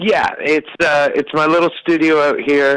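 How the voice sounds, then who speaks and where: A man talks with ordinary pitch variation. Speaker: roots musician. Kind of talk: phone interview. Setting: phone call. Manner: casual, hesitant with fillers.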